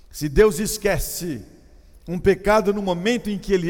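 A man speaks at a fairly slow pace. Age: 50s. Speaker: pastor. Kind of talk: sermon.

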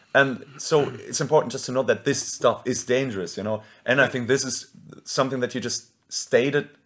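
A medium-pitched man in a German accent with fairly even intonation. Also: fairly quick pace. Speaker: podcast host and band singer. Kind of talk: casual chat.

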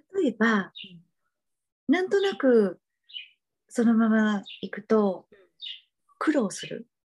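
A woman's fairly high, somewhat breathy voice at a very slow pace, with lively intonation, big swings in loudness, and long, frequent pauses. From Japan, Kagawa (Seto Inland Sea). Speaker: tarot and astrology reader. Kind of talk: interview conversation.

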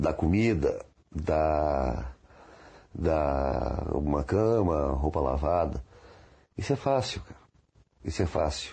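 A man with a very deep, low, dark and mellow voice speaks very slowly and somewhat breathily, with ordinary pitch variation and long, frequent pauses. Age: 50s. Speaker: blind interviewee. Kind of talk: testimony. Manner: halting.

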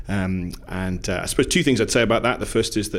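Fairly even intonation marks this voice with a Newcastle accent. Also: man. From Newcastle, England. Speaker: minister.

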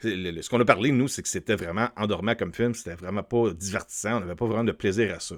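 The speaker has a Quebec accent and ordinary pitch variation. The pace is fairly quick. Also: man. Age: 40s. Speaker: YouTube film commentator. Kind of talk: solo video commentary. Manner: hesitant, many fillers.

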